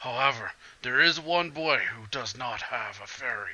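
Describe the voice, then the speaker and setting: A man performs a put-on character voice. It sounds raspy. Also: fairly high pitch for a man, moderate pace. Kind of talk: comic overacting. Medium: game stream. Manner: archaic, solemn.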